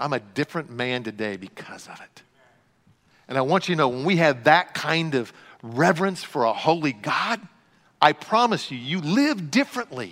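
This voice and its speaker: A man with a bright, sharp tone speaks with very wide pitch swings. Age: 60s. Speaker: pastor. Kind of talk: sermon.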